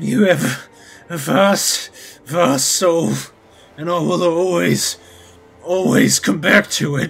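Over faint background music, a man speaks very slowly in a high voice. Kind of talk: dramatic reading of a love letter. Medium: audio drama. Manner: pleading, desperate.

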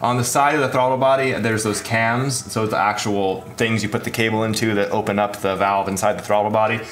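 A man speaks with ordinary pitch variation. There is light background noise. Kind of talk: tutorial.

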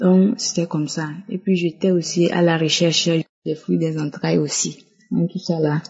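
A woman's somewhat breathy, fairly low-pitched voice with fairly even intonation. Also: fairly slow pace. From Togo. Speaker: testimony giver. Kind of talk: testimony.

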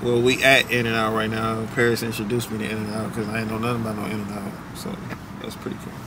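Noticeable background noise runs through the clip. Over it, a man speaks at a very fast pace. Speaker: travel vlogger. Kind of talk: casual vlog chat. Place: car. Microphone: phone near.

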